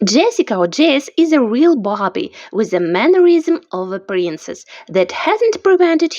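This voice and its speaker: With a non-native accent, a woman speaks at a moderate pace, her pitch swinging very widely. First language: not English. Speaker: amateur author reading own novel. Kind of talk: reading aloud.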